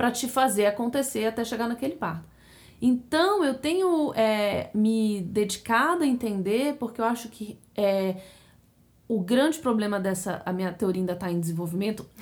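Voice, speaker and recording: A woman with an ordinary speaking voice talks at a moderate pace and fairly high pitch. Her intonation is lively. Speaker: podcast co-host. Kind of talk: casual chat.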